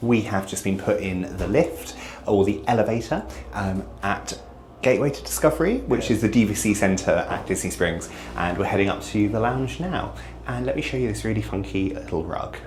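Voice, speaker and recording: Against noticeable background noise and audible room echo, a man speaks at a moderate pace in a fairly low voice whose pitch swings very widely. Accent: British. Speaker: travel vlogger. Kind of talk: casual vlog narration. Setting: lounge; restaurant. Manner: hesitant with frequent ums; quiet, speaking softly.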